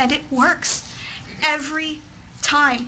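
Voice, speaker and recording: A woman with an American accent uses a raised, projected voice and fairly even intonation. Background noise is noticeable. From Texas. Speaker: parent advocate. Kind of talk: testimony. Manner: formal.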